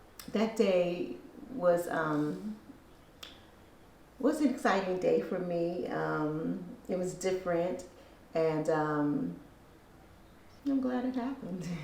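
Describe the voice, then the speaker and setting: A woman with a fairly low voice speaks very slowly, her pitch swinging very widely, with long, frequent pauses, audible room echo and noticeable background noise. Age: 60s. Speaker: hospital administration worker. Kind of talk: interview. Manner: hesitant, many fillers.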